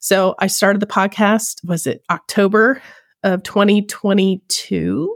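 A woman speaks in a plain, everyday voice of medium pitch with ordinary pitch variation, the sound dry and close with no echo on a very clean recording with a silent background. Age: 40s. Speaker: cosplayer and podcast host. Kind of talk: casual chat.

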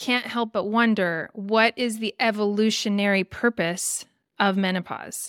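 This is a woman with an unremarkable speaking voice, medium in pitch and fairly even in intonation. She speaks at a fairly slow pace on a very clean recording with a silent background. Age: 40s. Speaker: podcast host. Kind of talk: podcast interview.

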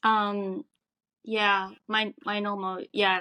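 The voice has a bright, sharp tone and a Japanese accent, recorded with a dry, close sound and no echo. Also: woman. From Japan, Tokyo. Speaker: restaurant worker. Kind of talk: casual interview. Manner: halting.

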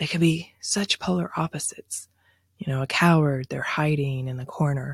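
The voice is somewhat breathy and moves at a moderate pace. The sound is dry and close, with no echo. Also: woman. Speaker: branding podcast host. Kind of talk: educational solo podcast.

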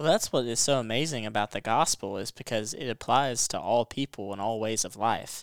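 In a very clean recording with a silent background, a man with an American accent speaks at a fairly quick pace and medium pitch, with ordinary pitch variation, hardly any pauses, and a dry, close sound with no echo. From Western Kentucky. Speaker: Bible college student. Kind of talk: Bible study discussion.

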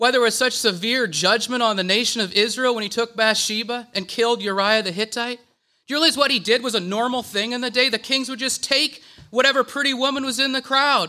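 A man's extremely high-pitched, raised and projected voice, bright and sharp in tone, at a fairly quick pace with hardly any pauses. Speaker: church speaker. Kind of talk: sermon. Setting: church.

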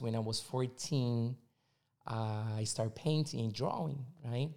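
A man with a Portuguese accent and a dark, mellow tone, at a fairly slow pace. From Brazil, São Paulo. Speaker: visual artist. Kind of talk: casual chat.

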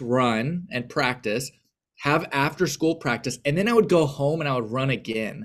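A man with a normal speaking voice talks at a moderate pace. His pitch is fairly high, with lively intonation. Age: 30s. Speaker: pastor and aspiring counselor. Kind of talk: casual interview conversation.

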